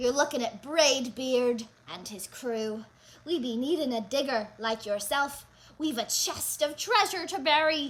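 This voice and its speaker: A woman uses a put-on character voice. It sits high in pitch. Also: moderate pace. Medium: read story. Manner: loud, bellowing, pirate talk.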